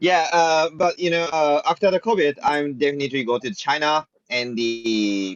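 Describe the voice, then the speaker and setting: Speaking with a Japanese accent, a man uses a fairly high pitch and lively intonation at a moderate pace. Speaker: blockchain project team member. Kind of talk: community video call Q&A. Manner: halting.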